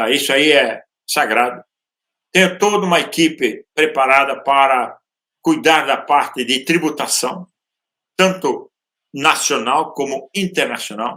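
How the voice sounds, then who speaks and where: A man with a fairly high pitch and a bright, sharp tone speaks at a fairly slow pace, with ordinary pitch variation and long, frequent pauses. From Brazil, interior of Santa Catarina. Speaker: real estate entrepreneur. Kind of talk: podcast interview. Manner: halting, with filler sounds.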